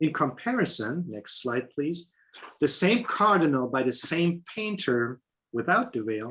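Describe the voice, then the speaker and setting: With a German accent, a man speaks fairly slowly in a bright, sharp tone, his pitch swinging very widely. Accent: German accent, some pronunciation issues. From Germany. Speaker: painter. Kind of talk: lecture.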